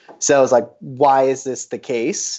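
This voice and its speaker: A man's normal speaking voice at medium pitch and a moderate pace. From Colorado, US. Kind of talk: interview.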